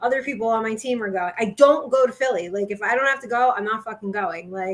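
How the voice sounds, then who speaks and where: An animated woman with a Jersey Shore accent, fairly high in pitch with ordinary pitch variation, at a very fast pace. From Jersey Shore, New Jersey. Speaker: sports podcast co-host. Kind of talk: casual chat.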